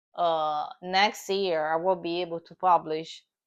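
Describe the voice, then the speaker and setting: Against a quiet background, a woman with a strong non-native accent speaks very slowly in a flat monotone, her pitch fairly low. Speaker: comic artist. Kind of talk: tutorial. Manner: halting, many fillers.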